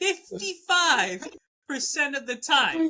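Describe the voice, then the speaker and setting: A woman's raised, projected voice has a bright, sharp tone and very wide pitch swings. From immigrant, not native English speaker. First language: not English. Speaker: podcast co-host. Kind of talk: casual chat.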